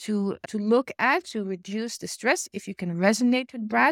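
Recorded dry and close with no echo in a very clean recording with a silent background, a woman speaks at a fairly slow pace with a fairly high pitch and ordinary pitch variation. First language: not English. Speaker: emotional intelligence coach and podcast host. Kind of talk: solo podcast monologue.

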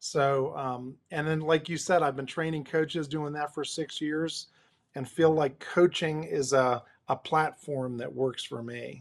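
Pitched fairly high, a man with an American accent speaks fairly slowly with fairly even intonation in a normal speaking voice, recorded very cleanly against a silent background. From New Jersey, near New York City. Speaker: executive coach and former pastor. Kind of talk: interview conversation.

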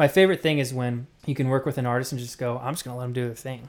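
A man talks in an ordinary speaking voice at medium pitch. His intonation stays fairly even. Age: 20s. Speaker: music producer. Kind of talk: casual chat.

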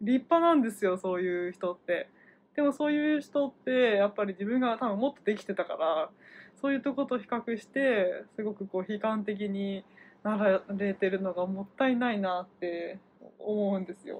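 Moderately paced and lively in intonation, a woman talks in a normal speaking voice at a medium pitch. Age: 30s. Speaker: healthcare worker. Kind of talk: casual chat.

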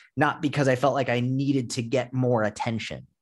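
A man with an American accent talks at a moderate pace in a normal speaking voice with a medium pitch. His intonation is fairly even, and the background is quiet. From Massachusetts, near Boston. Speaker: fitness coach. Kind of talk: interview.

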